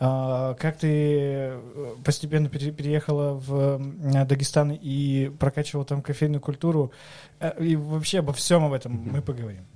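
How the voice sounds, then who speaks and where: A man speaks at a moderate pace with fairly even intonation. His voice is fairly high, with a dark, mellow tone. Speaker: podcast host. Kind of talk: casual chat.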